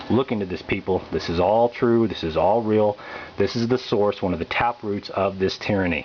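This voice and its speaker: A man speaks with a fairly low pitch and fairly even intonation. Noticeable background noise sits behind him. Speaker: political activist pamphleteer. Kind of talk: political monologue. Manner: fast; halting, repeats words.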